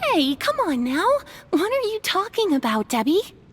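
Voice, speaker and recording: A squeaky, put-on character voice at an extremely high pitch, upbeat in tone, with very wide pitch swings and a moderate pace. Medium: cartoon. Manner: eager, upbeat.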